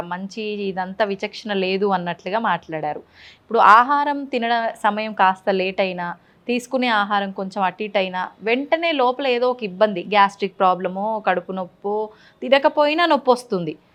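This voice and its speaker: Over a quiet background, a woman of medium pitch uses lively intonation in a plain, everyday voice. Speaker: interviewer. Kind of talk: interview question.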